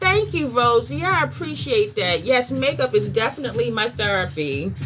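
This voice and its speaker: A woman at a moderate pace with an American accent, over noticeable background noise. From North Carolina, US South. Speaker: makeup artist. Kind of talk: livestream makeup tutorial. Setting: live stream at night.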